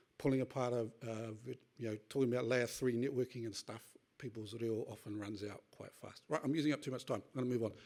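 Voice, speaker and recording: Speaking very fast with fairly even intonation, a man at medium pitch has a New Zealand accent. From New Zealand, Northland (Kawakawa). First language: Te Reo Māori. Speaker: tech industry speaker on data sovereignty. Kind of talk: conference talk. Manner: hurried.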